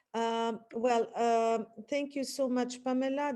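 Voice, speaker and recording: A woman with a non-native accent speaks very slowly at a fairly high pitch, her tone dark and mellow. Her intonation is monotone and flat over a quiet background. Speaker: literature professor. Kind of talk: academic webinar talk. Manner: halting with many fillers.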